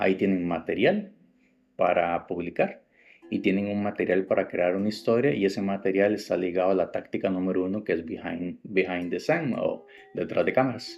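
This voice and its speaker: With music in the background, a man talks at a fairly low pitch with a Costa Rican accent. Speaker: woodworking podcast host. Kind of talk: podcast tutorial. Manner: casual, with fillers.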